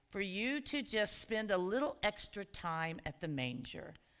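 Behind the woman talking, the background is quiet. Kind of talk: worship welcome and introduction. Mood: warm, festive. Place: church.

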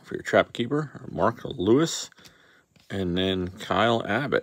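A man's fairly low voice at a fairly slow pace. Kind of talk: casual pack-opening commentary. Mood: wry, sarcastic. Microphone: phone near.

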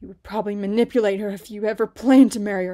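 This is a put-on character voice that sounds female. It runs at a very fast pace with a fairly high pitch. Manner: through clenched teeth; defiant, resolute.

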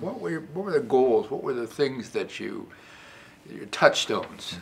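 Loudness swings widely as a man speaks at a fairly slow pace. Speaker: interviewer, former dean of social work school. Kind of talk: oral history interview questions. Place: meeting room.

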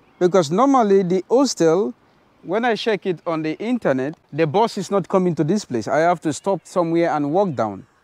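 A man speaks at a fairly slow pace with lively intonation. The sound is dry, with no echo. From Nigeria. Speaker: travel vlogger. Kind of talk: travel vlog narration. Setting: outdoors. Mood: amazed, grateful. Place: street. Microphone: lapel.

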